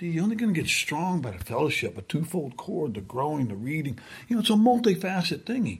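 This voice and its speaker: A man talks at a very fast pace with vocal fry, very wide pitch swings and a fairly high pitch. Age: 60s. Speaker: guest preacher. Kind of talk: sermon. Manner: conversational, informal.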